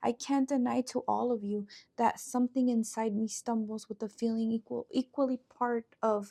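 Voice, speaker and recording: Recorded with a dry, close sound and no echo, a woman with a non-native accent speaks at a fairly high pitch in a dark, mellow tone. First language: not English. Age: 30s. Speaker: poet. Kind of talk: reading aloud own poem.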